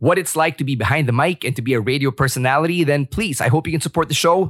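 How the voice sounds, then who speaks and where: A man with a Filipino accent speaks at a very fast pace, with ordinary pitch variation. The recording is very clean, with a silent background. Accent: Filipino English with Tagalog code-switching. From Philippines. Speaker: podcast host, former radio DJ. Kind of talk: casual personal storytelling. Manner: candid, conversational.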